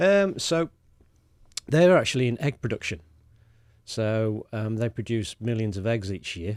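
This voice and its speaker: Speaking with a British accent, a man keeps a medium pitch and a fairly slow pace. He takes long, frequent pauses. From England, Lincolnshire (East Midlands). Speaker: sustainability specialist. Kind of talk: casual chat. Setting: studio. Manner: hesitant, many fillers.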